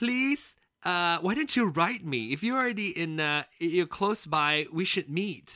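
In a very clean recording with a silent background, a man uses a raised, projected voice with a bright, sharp tone and very wide pitch swings, speaking at a fairly slow pace with hardly any pauses. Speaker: podcast co-host. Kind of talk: casual chat. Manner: animated.

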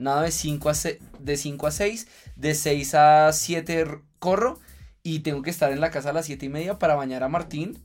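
Over music in the background, a man speaks fairly slowly with fairly high pitch and fairly even intonation. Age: 30s. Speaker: fitness influencer and triathlete. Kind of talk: casual interview chat.

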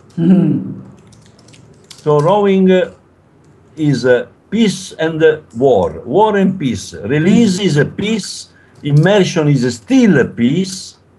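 A man with an Italian accent at a high pitch, very slow pace, lively intonation and long, frequent pauses. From Italy. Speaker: rowing coach. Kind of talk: interview. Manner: halting.

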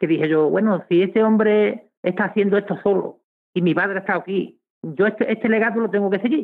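A man with a high pitch and fairly even intonation at a fairly quick pace. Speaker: historical memory activist. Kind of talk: radio interview.

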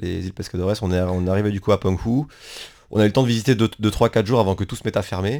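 Very fast and fairly low in pitch, a man's voice carries a dark, mellow tone and fairly even intonation on a very clean recording with a silent background. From France. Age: 20s. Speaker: working-holiday traveller. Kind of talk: radio interview. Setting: radio studio. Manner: halting.

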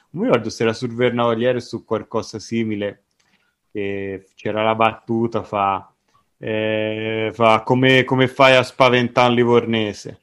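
With a Tuscan accent, a man at medium pitch talks at a fairly slow pace against a quiet background. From Tuscany, Italy. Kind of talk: casual chat. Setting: recording with friends, recorded on his device. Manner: animated.

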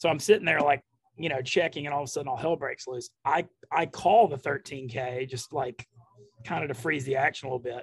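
A man with a somewhat breathy voice speaks fairly quickly, his pitch rising and falling in an ordinary way. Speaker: poker player. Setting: coffee shop, remote call.

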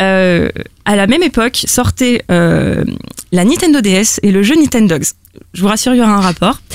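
A plain, everyday voice speaks at a moderate pace with lively intonation and very even loudness. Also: woman, medium pitch for a woman. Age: 20s. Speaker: listener guest. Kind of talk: casual chat.

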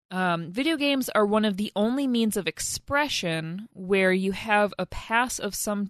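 A woman with a medium pitch and an unremarkable speaking voice talks with ordinary pitch variation. The sound is dry and close with no echo over a quiet background. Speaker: podcast co-host. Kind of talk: casual banter about games.

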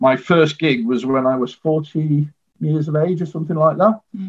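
A man speaks at a moderate pace in a fairly high, somewhat breathy voice. His pitch shows ordinary variation. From northern England, Manchester. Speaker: guitarist. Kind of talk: interview. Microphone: poor internet connection.

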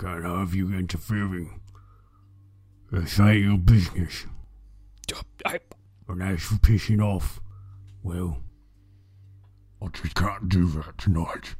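Using a put-on character voice, a man speaks at a very deep, low pitch and a fairly slow pace, with long, frequent pauses. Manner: gruff, irritated.

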